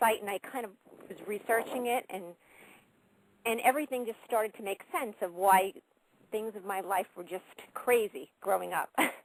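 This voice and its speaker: The speaker has a New York accent. The pace is moderate, with ordinary pitch variation. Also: woman, dry, close sound with no echo. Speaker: caller. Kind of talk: call-in testimony.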